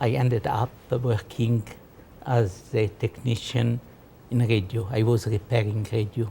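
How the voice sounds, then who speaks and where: A man speaks at a fairly slow pace in a medium pitch, somewhat breathy, with a dark, mellow tone, flat monotone delivery, and very even loudness. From Egypt. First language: French. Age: 80s+. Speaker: interviewee telling life story. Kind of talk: life story interview.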